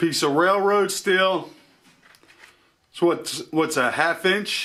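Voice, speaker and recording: A man's high-pitched voice with a bright, sharp tone, very even loudness, fairly even intonation and a very slow pace. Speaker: DIY workshop youtuber. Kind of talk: tutorial.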